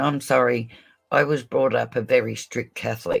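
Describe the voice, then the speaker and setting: Recorded very cleanly against a silent background, a man with an Australian accent speaks at a moderate pace. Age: 60s. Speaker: true crime livestreamer. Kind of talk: casual livestream chat. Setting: live stream. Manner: animated.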